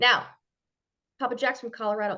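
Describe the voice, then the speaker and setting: A woman with a Minnesotan accent speaks at a moderate pace in an animated tone that is bright and sharp. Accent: Minnesota. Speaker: branding expert. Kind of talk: expert talk on a group call.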